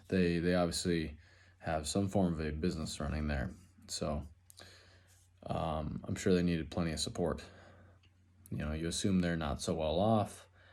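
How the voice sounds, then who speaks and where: A man with an American accent speaks at a moderate pace in a very deep, low pitch, with fairly even intonation and long, frequent pauses. Room echo is audible. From Minnesota, Twin Cities area. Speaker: student, finish carpenter. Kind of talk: class introduction video. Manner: casual, halting with fillers.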